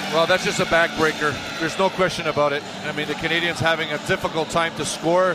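Over noticeable background noise, a man talks at a very fast pace. His voice is high-pitched and monotone, with flat intonation. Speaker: radio color analyst, former hockey player. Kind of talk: live sports commentary analysis. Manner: conversational, hesitant, filler words, relaxed.

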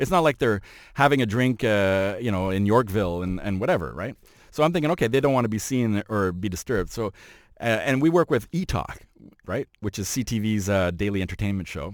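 Speaking in a Montreal accent, a man talks at a fairly quick pace with lively intonation. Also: fairly low pitch for a man, very clean recording, silent background. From Montreal, Quebec. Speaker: fashion journalist and photographer. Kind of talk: casual chat.

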